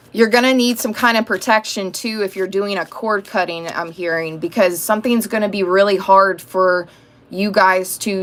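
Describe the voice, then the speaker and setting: Woman at medium pitch, ordinary pitch variation and a moderate pace. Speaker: tarot reader. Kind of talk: tarot reading livestream monologue. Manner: loud; casual, conversational.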